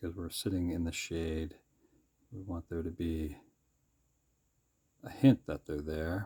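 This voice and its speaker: A man speaks in a very deep, low pitch with a dark, mellow tone, somewhat breathy. His intonation is fairly even, with long, frequent pauses. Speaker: sketchbook artist. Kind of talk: drawing tutorial commentary. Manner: rising, questioning inflection; casual, hesitant with fillers.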